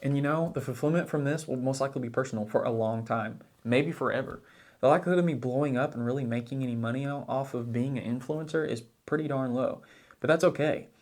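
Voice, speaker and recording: A man with an Oklahoma accent speaks very fast at a medium pitch. His intonation stays fairly even. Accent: small-town Oklahoma. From US South, southeast Oklahoma. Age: 20s. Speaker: finance blogger and YouTuber. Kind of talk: casual vlog monologue. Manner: halting, with repetitions.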